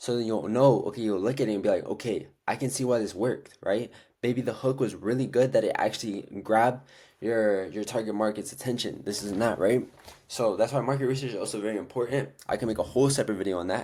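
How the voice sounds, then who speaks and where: On a very clean recording with a silent background, a man of medium pitch talks at a very fast pace with fairly even intonation. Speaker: dropshipping coach. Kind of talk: tutorial. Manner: casual, filler-heavy.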